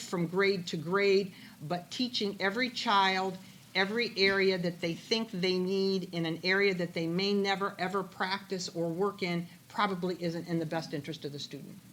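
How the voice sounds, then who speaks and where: With a Midwestern American accent, a woman talks at a moderate pace in a medium pitch, her intonation fairly even. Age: 60s. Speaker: political candidate. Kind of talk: political forum answers.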